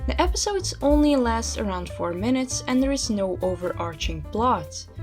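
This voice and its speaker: With music in the background, a woman speaks at a moderate pace in a non-native accent. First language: not English. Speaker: video essayist. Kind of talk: video essay narration. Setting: low-quality home microphone.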